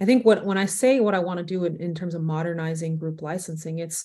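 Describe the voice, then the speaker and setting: Fairly quick and somewhat breathy, a woman's dark, mellow voice sits at a fairly low pitch with fairly even intonation on a very clean recording with a silent background. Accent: American. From Texas, Arlington. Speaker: sports business executive. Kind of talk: interview.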